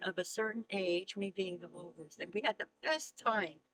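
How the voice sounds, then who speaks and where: A woman's bright, sharp tone comes with an American accent and ordinary pitch variation, the sound dry and close with no echo. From New York. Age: 80s+. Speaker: artist and grandmother. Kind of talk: interview.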